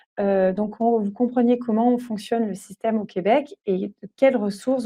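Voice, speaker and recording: Against a quiet background, a woman with a fairly high pitch and dark, mellow tone speaks at a moderate pace with ordinary pitch variation, the sound dry and close with no echo. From France. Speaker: doula. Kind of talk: webinar presentation. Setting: online webinar. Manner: hesitant, many fillers.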